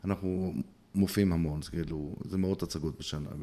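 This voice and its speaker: A man is speaking. His pace is fairly quick. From Israel, Bnei Brak. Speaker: playback theatre actor and group facilitator. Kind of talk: interview conversation.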